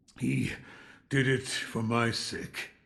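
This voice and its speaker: Using a put-on character voice, the man speaks in a raspy tone at a medium pitch. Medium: video game. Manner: terse, flat questions.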